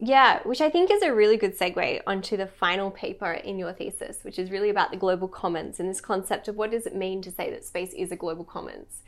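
A woman with an Australian accent at medium pitch, very fast pace, hardly any pauses and ordinary pitch variation. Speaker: podcast host. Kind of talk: interview.

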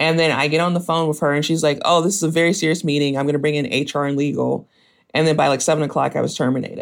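A man's fairly high voice with an American accent, very fast pace, very even loudness and fairly even intonation. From US South, Mississippi and Memphis, Tennessee. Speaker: former tech employee, activist. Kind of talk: interview.

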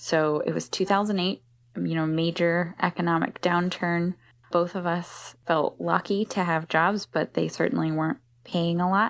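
A woman with an American accent and an unremarkable speaking voice talks at a fairly slow pace, her pitch fairly low. Her intonation is fairly even, and the background is quiet. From US Northeast, Philadelphia. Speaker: cargo bike shop owner. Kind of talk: interview conversation.

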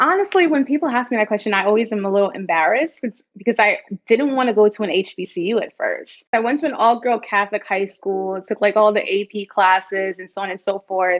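A woman with an American accent in an unremarkable speaking voice, fairly high in pitch, with ordinary pitch variation and a fairly quick pace. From New York City, the Bronx. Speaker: startup founder. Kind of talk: interview.

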